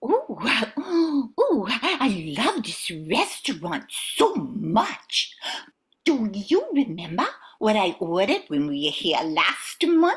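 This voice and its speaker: A woman puts on a character voice with a fairly high pitch. She speaks at a very slow pace. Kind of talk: comic overacting. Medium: stage play. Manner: breathy, gushing exclamations.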